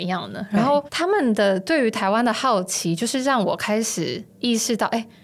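This is an ordinary speaking voice with ordinary pitch variation at a moderate pace. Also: woman. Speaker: author and researcher. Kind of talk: interview conversation.

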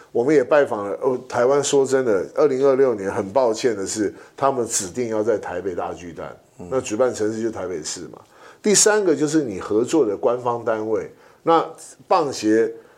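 An unremarkable speaking voice goes at a moderate pace with lively intonation. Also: man. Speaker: podcast co-host, sports league executive. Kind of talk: casual chat.

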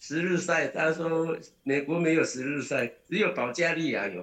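This man's voice is high-pitched. He talks at a fairly slow pace. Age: 60s. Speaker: ultramarathon runner. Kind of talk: casual interview. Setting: video call.

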